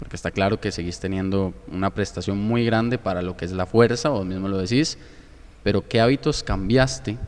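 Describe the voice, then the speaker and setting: A man with an ordinary speaking voice talks at a fairly quick pace and a fairly low pitch, with ordinary pitch variation. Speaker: podcast host. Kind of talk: interview.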